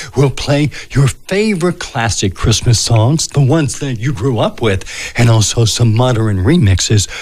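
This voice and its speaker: Lively in intonation, a man with an American accent has a normal speaking voice at a medium pitch and a moderate pace. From Pennsylvania, USA. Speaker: radio DJ. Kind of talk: radio station announcement. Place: studio.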